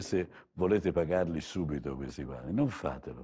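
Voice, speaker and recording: A dark, mellow tone with vocal fry against a quiet background. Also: man. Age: 60s. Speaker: TV art dealer host; TV art salesman. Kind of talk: live TV art sales show. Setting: TV studio gallery. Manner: soothing, soporific; halting, repetitive. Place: studio. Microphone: lapel.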